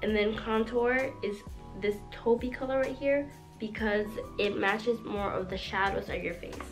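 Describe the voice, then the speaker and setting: Over music in the background, a woman with a fairly high voice speaks at a moderate pace. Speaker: beauty YouTuber. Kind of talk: makeup tutorial talk to camera. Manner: monotone.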